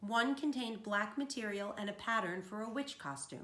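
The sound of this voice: The speaker uses an unforced reading voice whose pitch shifts in an ordinary way.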